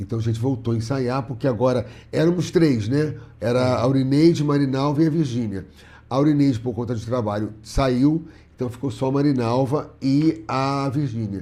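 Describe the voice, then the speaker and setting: A man's dark, mellow tone at medium pitch, with ordinary pitch variation and a moderate pace. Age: 60s. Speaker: comedian. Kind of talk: casual interview chat.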